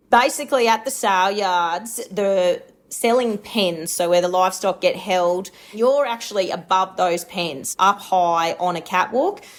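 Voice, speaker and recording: With a rural Australian accent, a woman speaks at a fairly slow pace. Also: medium pitch for a woman, ordinary pitch variation. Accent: broad rural Australian. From rural Queensland, Australia. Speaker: livestock agent and auctioneer. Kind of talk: interview.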